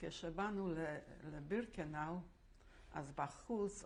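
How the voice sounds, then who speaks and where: A woman's voice at a fairly low pitch. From Łódź, Poland. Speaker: Holocaust survivor. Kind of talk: oral history interview answer.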